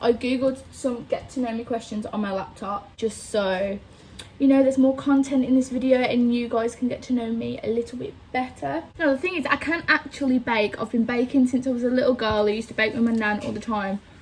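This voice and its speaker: A woman talks at a fairly quick pace with a Birmingham accent. Her pitch is high. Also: ordinary pitch variation. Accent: Birmingham (Brummie) English. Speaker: vlogger. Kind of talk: casual chat.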